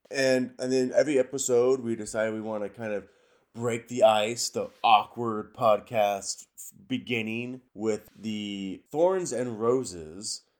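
An unremarkable speaking voice: a man with an American accent talks fairly slowly at a medium pitch with ordinary pitch variation. His loudness swings widely in a very clean recording with a silent background. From Washington State, US. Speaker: podcast co-host, construction superintendent. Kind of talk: casual chat.

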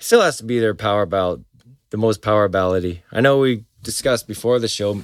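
With ordinary pitch variation, this is an unremarkable speaking voice. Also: man. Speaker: podcast host. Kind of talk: casual banter about music.

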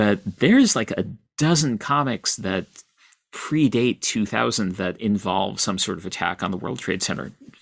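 An unremarkable speaking voice from a man, fairly low in pitch, at a moderate pace with lively intonation. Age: 50s. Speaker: author and comics critic. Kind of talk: interview.

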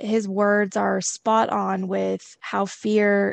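A woman speaks over a quiet background. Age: 30s. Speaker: manager. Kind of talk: casual chat.

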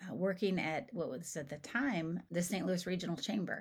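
A woman with an American accent talks with vocal fry. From southeastern Ohio, Appalachia. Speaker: economic development consultant. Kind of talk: interview.

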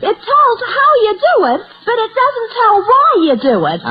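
Putting on a character voice, a woman squeaks at an extremely high pitch with very wide pitch swings and a moderate pace. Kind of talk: 1940s radio comedy. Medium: old radio play. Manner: innocent, deadpan delivery of punchlines.

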